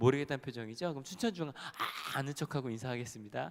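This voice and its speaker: Very fast speech with lively intonation and an animated tone. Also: man. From Incheon, South Korea. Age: young. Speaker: pastor. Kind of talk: sermon. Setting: church.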